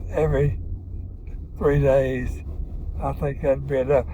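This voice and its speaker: Over noticeable background noise, a man talks at a moderate pace with a Southern US accent. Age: 80s+. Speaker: father of the host. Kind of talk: casual chat. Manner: halting.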